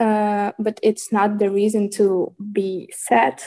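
A woman's medium-pitched voice with a Ukrainian accent. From Ukraine. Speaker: student. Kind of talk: interview. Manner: halting.

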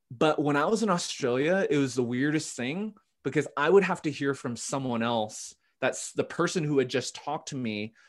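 Over a quiet background, a man speaks at a moderate pace. His voice is fairly high, with lively intonation. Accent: Western Canadian. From Canada, Vancouver. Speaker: pastor. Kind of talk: casual chat.

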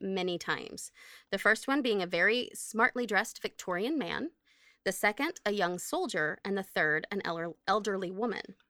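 Woman's voice at medium pitch, bright and sharp in tone, with lively intonation at a moderate pace, in a dry, close, echo-free recording with a very clean, silent background. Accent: American. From Oklahoma. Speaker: podcast co-host. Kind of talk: casual chat.

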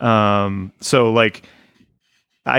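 A man talks in an unremarkable speaking voice. His pitch is fairly low and his intonation fairly even. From Portugal and US. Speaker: podcaster, former evangelical. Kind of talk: casual chat. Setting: video call.

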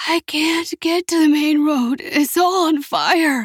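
A female-sounding voice, hoarse and extremely high-pitched, does a put-on character voice at a fairly slow pace. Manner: labored, breathless.

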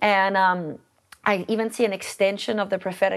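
A woman's medium-pitched voice with vocal fry, at a moderate pace. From South Africa, Port Elizabeth. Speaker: church leader and prophetic minister. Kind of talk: interview.

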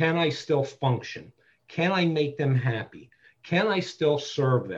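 With an American accent, a man speaks fairly slowly in a somewhat breathy voice with ordinary pitch variation. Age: 50s. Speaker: BDSM community dominant and mentor. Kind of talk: interview conversation.

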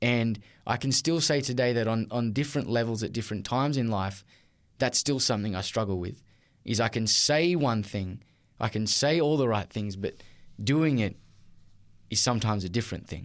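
With an Australian accent, a man speaks at a medium pitch with ordinary pitch variation and long, frequent pauses, on a very clean recording with a silent background. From Australia, Newcastle NSW. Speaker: teacher. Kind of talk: testimony. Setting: studio.

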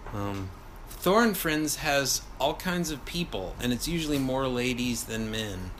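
A man with an American accent at a fairly slow pace and medium pitch, with noticeable background noise and audible room echo. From Texas, near Houston. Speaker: touring musician. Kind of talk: casual chat.

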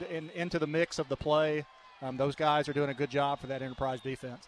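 With a Southern US accent, a man speaks at a moderate pace. His pitch is fairly high and his intonation fairly even. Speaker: color commentator. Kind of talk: sports color analysis. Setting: stadium broadcast booth. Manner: conversational, filler-heavy, halting.

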